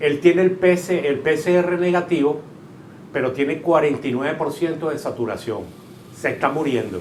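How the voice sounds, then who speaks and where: Audible room echo surrounds a man whose fairly high pitch shows ordinary variation as he speaks at a moderate pace. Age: 70s. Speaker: shopkeeper, covid survivor. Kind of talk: testimony.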